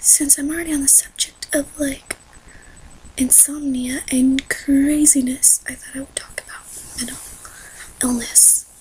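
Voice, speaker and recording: A woman whispering quietly at a fairly slow pace, long, frequent pauses and noticeable background noise. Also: big swings in loudness. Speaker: vlogger. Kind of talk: personal vlog. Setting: dark room at night, home. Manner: hesitant, many fillers.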